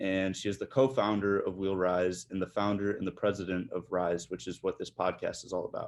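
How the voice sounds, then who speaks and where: Man with a Midwestern accent, fairly low pitch and fairly even intonation, quiet background. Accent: Midwest US. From Michigan, Detroit area. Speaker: podcast host. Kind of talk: interview.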